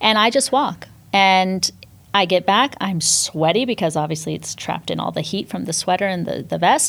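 A woman speaks at a medium pitch and moderate pace, her intonation lively and her voice showing vocal fry. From Northern California, US. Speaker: fitness instructor and entrepreneur. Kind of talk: podcast interview.

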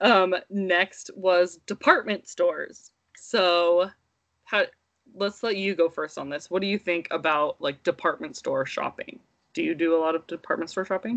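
At a moderate pace, a woman speaks in a plain, everyday voice, medium in pitch, with ordinary pitch variation. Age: 30s. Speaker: podcast co-host and mother. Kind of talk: casual chat.

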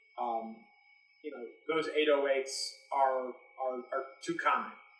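Music in the background and audible room echo around a man's speech. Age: 30s. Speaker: music editor and executive. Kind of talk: interview.

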